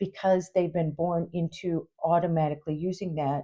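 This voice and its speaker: In an Upper Midwest US accent, a woman with a dark, mellow tone talks at a fairly low pitch and moderate pace, her intonation fairly even against a quiet background. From Minnesota. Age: 60s. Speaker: YouTuber and substitute teacher. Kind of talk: casual vlog talk to camera. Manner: halting, many fillers.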